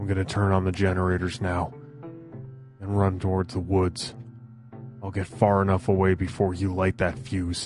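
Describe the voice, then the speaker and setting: Over clear music in the background, a man in a put-on character voice speaks very deep and low at a moderate pace, with long, frequent pauses. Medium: audio drama. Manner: earnest, decisive.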